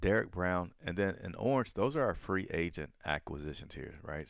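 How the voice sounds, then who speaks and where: A man's very deep, low voice at a moderate pace. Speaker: sports streamer. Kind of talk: live commentary. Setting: live stream. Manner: softer voice.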